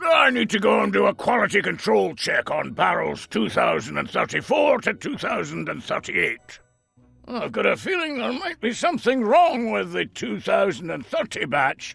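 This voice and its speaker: Over faint background music, a man speaks at a moderate pace in a put-on character voice. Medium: video game. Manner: teasing, chuckling.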